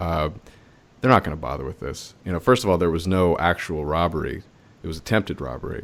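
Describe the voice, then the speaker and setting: A man speaks with a very deep, low pitch. The recording is very clean with a silent background. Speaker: podcast host. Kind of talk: casual chat.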